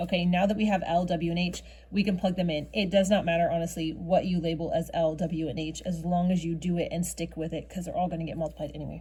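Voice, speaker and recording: A woman talks very fast with vocal fry, in a fairly low pitch. Her tone is dark and mellow, and her intonation is monotone and flat. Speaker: math teacher. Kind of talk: tutorial.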